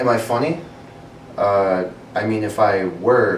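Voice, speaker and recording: A man's voice, with ordinary pitch variation, comes through audible room echo and noticeable background noise. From Iran, raised in Massachusetts. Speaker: comedian. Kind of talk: interview. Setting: empty library.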